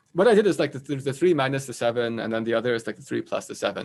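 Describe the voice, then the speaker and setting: Intonation rises and falls in a lively way. The man rushes along at a very fast pace. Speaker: math professor giving a talk. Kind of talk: lecture. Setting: live online event. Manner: halting, many repeated words.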